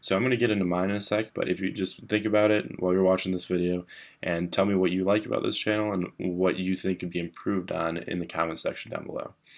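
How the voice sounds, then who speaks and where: Quiet and very fast, a man speaks with a very deep, low pitch and fairly even intonation. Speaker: finance YouTuber. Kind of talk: casual vlog. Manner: monotone.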